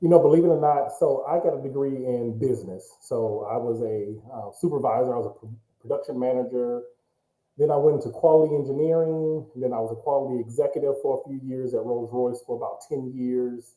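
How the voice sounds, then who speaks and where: A man in an ordinary speaking voice with an American accent, medium pitch, ordinary pitch variation, a fairly quick pace and big swings in loudness. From Michigan, US (Pontiac). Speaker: real estate business owner. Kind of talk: interview.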